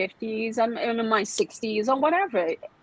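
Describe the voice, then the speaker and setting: With lively intonation and a fairly high pitch, a woman speaks over noticeable background noise. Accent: Brazilian Portuguese. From Brazil. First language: Portuguese. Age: 40s. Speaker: massage therapist and skincare specialist. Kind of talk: podcast interview. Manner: halting, many fillers and restarts.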